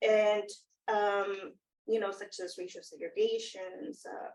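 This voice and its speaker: A woman speaks with a Spanish accent. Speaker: academic panelist. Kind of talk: panel discussion. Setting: in-person round table. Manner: halting, many fillers.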